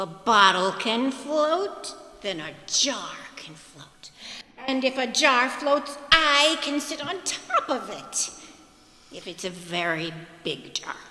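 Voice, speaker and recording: A put-on character voice, female-sounding and high-pitched, swings very widely in pitch. It moves at a fairly slow pace with a clear echo. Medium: stage play. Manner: slow, simple, earnest.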